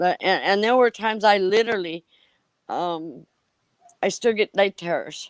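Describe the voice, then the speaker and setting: A woman with an Upper Midwest accent, medium-pitched, ordinary pitch variation, moderate pace with long, frequent pauses, dry and close with no echo. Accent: Upper Midwest American. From Wisconsin. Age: 60s. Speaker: person in recovery sharing her story. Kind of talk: testimony. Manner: halting, many fillers and restarts.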